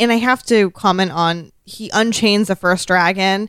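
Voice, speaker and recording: Medium pitch from a woman, ordinary pitch variation, and a very clean recording with a silent background. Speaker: podcast co-host. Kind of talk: casual chat. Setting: live-streamed recording with chat room. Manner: sometimes quiet, off mic.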